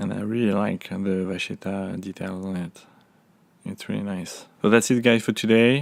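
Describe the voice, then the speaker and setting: A man with a French accent, relaxed in tone, fairly low in pitch, at a moderate pace with big swings in loudness. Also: ordinary pitch variation. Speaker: unboxing vlogger. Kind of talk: casual talk to camera. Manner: hesitant, relaxed. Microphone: phone near.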